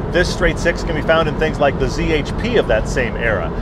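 Speech at a fairly quick pace comes through with a dry sound and no echo, over loud background noise. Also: man. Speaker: car show host. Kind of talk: car review commentary. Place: car.

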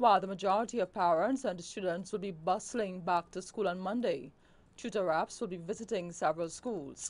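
A woman speaks at a medium pitch in an unremarkable speaking voice, with ordinary pitch variation and a fairly quick pace. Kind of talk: news reading. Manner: formal, even and polished.

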